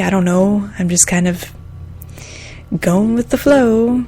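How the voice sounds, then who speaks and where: Over noticeable background noise, a woman speaks with an American accent and lively intonation. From Michigan, US Midwest. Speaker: podcaster and massage therapist. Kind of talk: casual monologue. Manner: halting, many fillers; soft-spoken.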